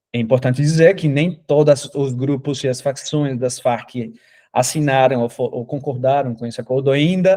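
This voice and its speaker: A dark, mellow tone carries ordinary pitch variation at a fairly slow pace. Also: man. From Colombia. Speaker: academic researcher. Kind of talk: lecture. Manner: halting, many fillers.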